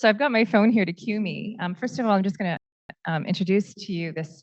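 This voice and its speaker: A somewhat breathy voice with a Canadian accent and ordinary pitch variation. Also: woman. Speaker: panel moderator. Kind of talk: panel introduction. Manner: halting, many fillers.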